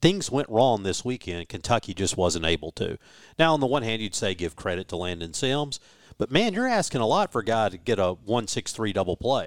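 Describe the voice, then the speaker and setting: Lively, fairly quick male speech at medium pitch in a Southern US accent. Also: dry, close sound with no echo. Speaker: radio broadcaster. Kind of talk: sports commentary, analytical pitch-by-pitch breakdown.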